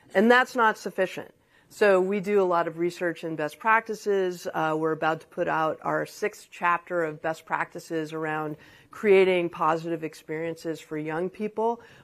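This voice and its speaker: A woman with an ordinary speaking voice and ordinary pitch variation talks with big swings in loudness on a very clean recording with a silent background. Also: fairly low pitch for a woman, moderate pace. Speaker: trade association CEO. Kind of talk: panel discussion.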